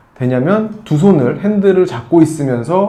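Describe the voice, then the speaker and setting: A man's lively intonation amid audible room echo. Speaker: tech reviewer. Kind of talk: product review. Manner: conversational with fillers.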